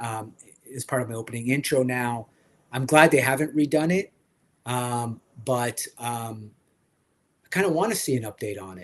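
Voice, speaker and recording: Moderate pace broken by long, frequent pauses, with ordinary pitch variation and big swings in loudness. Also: man, medium pitch for a man. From French Canada. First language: French. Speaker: toy collector livestream host. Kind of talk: casual livestream chat. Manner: hesitant, many fillers.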